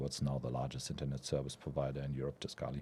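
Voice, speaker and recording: With a German accent, a man speaks at a very fast pace. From Germany. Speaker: venture capital investor. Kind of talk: podcast interview.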